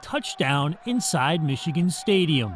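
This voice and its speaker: A man with a high pitch and very wide pitch swings, at a moderate pace, amid noticeable background noise. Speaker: TV sports anchor and reporter. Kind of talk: TV sports news reporting.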